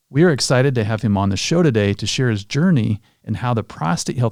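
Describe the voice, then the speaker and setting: This man has an unremarkable speaking voice at a medium pitch with lively intonation, captured dry and close with no echo on a very clean recording with a silent background. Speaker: urologist, podcast host. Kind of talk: podcast intro narration.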